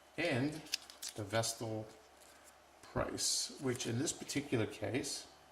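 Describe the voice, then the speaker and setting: With noticeable background noise, a man speaks fairly slowly at a medium pitch with ordinary pitch variation. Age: 60s. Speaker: watch reviewer. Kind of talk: product review tutorial. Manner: casual, conversational.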